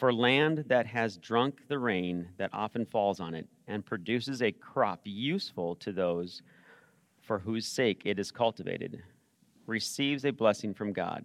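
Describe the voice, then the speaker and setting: A man with an unremarkable speaking voice talks at a fairly slow pace, at medium pitch and with ordinary pitch variation. The very clean recording has a silent background and a dry, close sound with no echo. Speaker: church service leader reading scripture. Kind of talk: reading aloud. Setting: church.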